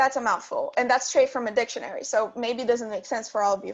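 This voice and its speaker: This is a woman's voice. Her pitch is high. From Brazil. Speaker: student guest speaker. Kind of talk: lecture. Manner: fast.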